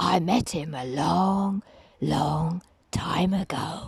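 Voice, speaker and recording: A put-on character voice, raspy, at a very slow pace with ordinary pitch variation. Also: woman, fairly low pitch for a woman. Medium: read story. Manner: slow, ominous.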